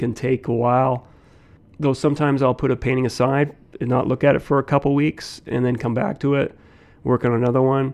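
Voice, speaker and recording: He speaks with a Canadian Prairies accent. This man's pace is fairly quick. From Saskatoon, Canada. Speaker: painter. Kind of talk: interview.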